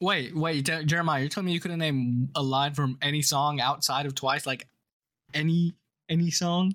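A man's unremarkable speaking voice, fairly high in pitch, at a moderate pace. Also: fairly even intonation, very clean recording, silent background. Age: 20s. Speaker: podcast co-host. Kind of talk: casual chat.

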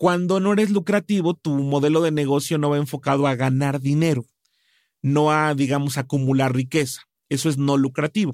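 An unremarkable speaking voice from a man, fairly high in pitch with ordinary pitch variation and very even loudness, in a very clean recording with a silent background and a dry, close sound with no echo. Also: moderate pace. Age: 40s. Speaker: business consultant. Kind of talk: interview.

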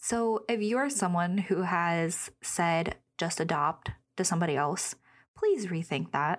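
A plain, everyday voice speaks at a fairly slow pace with ordinary pitch variation and very even loudness. The recording is very clean, with a silent background. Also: woman, fairly low pitch for a woman. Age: 20s. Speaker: podcast host. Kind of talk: casual solo podcast talk. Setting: studio. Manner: chatty, informal.

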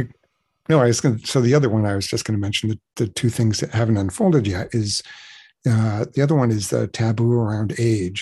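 A man with a medium pitch and ordinary pitch variation speaks at a fairly quick pace, his dark, mellow tone somewhat breathy. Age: 60s. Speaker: webcam performer. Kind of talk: casual interview. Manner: halting.

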